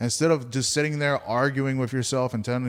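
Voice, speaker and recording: In a very clean recording with a silent background, a man talks fairly quickly in an ordinary speaking voice. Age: 30s. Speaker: stand-up comedian. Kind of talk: casual podcast interview.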